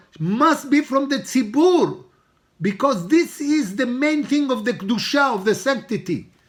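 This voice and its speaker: With an Israeli accent, a man talks at an extremely high pitch for a man. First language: Hebrew. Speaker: rabbi teaching a Torah class. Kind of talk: religious lecture.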